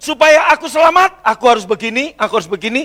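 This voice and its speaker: A man speaks in a raised, projected voice with an animated, bright, sharp tone and very wide pitch swings at a moderate pace, in a dry, close sound with no echo. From Central Java, Indonesia. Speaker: pastor. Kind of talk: sermon. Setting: church.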